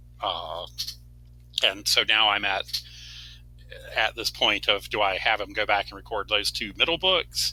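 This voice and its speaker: Fairly slow and marked by long, frequent pauses, the voice has a bright, sharp tone with vocal fry and very wide pitch swings. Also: man, fairly low pitch for a man. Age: 60s. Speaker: fantasy author. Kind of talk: casual chat. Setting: podcast interview. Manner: halting, many fillers.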